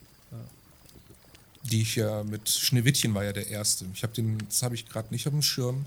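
A man of medium pitch at a moderate pace. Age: 30s. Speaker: podcast co-host. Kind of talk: casual chat.

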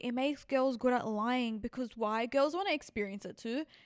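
A woman talks at a fairly quick pace, her fairly high pitch showing ordinary pitch variation. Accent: Sydney. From Western Sydney, Australia. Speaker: podcast host. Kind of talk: casual monologue. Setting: on a couch, not at home.

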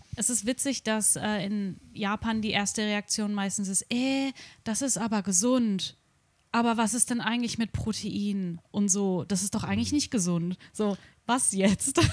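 A woman's somewhat breathy voice at a medium pitch and a fairly slow pace, with ordinary pitch variation, in a very clean recording with a silent background. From Germany, Darmstadt near Frankfurt. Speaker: vegan coach. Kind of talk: casual chat.

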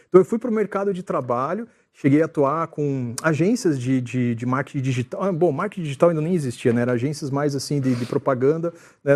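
A man speaks at a very fast pace in a fairly high pitch against a quiet background. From Rio de Janeiro, Brazil; raised in Curitiba. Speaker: church communications director. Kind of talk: casual interview chat.

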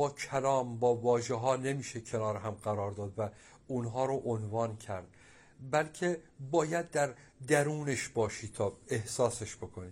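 A somewhat breathy man talks at a moderate pace and medium pitch. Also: ordinary pitch variation. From Iran, Abadan (Khuzestan). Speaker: painter and sculptor. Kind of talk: interview. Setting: at home in his studio.

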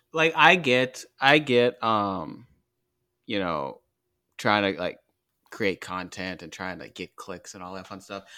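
A man with a fairly low pitch, a bright, sharp tone and lively intonation, at a fairly slow pace with long, frequent pauses, in a very clean recording with a silent background. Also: big swings in loudness. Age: 30s. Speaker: college basketball podcast host. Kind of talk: casual chat.

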